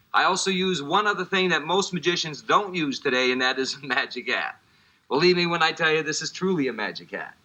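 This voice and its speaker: In a New Orleans accent, a man talks at a fairly quick pace. His voice is high, with ordinary pitch variation. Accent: New Orleans American English. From US, New Orleans. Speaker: magician. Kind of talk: magic performance patter. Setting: TV studio. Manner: fast; animated, joking.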